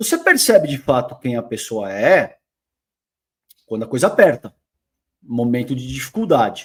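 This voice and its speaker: An animated tone with very wide pitch swings at a moderate pace, on a very clean recording with a silent background. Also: man. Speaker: political commentator. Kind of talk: reaction commentary.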